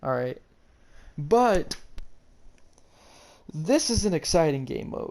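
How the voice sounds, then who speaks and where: The speaker goes at a very slow pace, with long, frequent pauses. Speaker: gaming YouTuber. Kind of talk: casual game tutorial.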